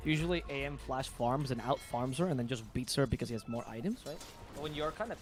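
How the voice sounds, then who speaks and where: Very fast and somewhat breathy, a man speaks in a fairly high voice. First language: not English. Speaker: esports commentator. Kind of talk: live commentary. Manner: animated.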